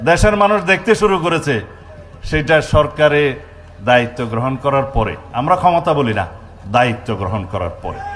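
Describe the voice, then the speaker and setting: Noticeable background noise runs through the clip. A man speaks at a fairly high pitch with very wide pitch swings. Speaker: politician, home minister. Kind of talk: political rally speech. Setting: outdoors with microphone.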